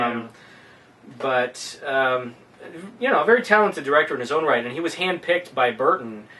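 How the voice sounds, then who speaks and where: Lively in intonation, a man talks at a fairly quick pace. Noticeable background noise runs underneath. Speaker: film reviewer. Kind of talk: casual film review conversation.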